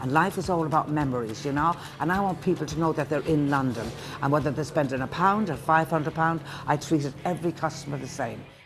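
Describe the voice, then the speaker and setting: Against noticeable background noise, a woman with a very deep, low pitch speaks at a very fast pace in an animated tone with ordinary pitch variation. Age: 70s. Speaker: waitress. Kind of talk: interview and chat with customers.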